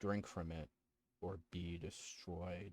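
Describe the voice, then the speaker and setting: A man uses a put-on character voice, booming and very deep in pitch. His intonation stays monotone and flat. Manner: commanding, menacing.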